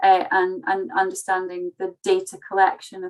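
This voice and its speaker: The speech moves at a moderate pace, with a dry, close sound and no echo. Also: woman. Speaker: agricultural technology researcher. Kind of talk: online conference presentation. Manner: hesitant, many fillers.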